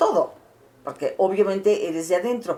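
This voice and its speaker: The woman in this clip speaks at a fairly slow pace. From Mexico City, Mexico. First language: Catalan (speaking Spanish). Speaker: interviewee, cultural figure. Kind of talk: interview testimony. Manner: halting.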